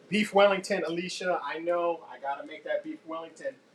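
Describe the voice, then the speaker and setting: A man speaks at a fairly slow pace, his pitch high with ordinary variation. Noticeable background noise runs behind him. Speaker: cooking show host. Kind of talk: live cooking tutorial. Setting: home kitchen, live stream.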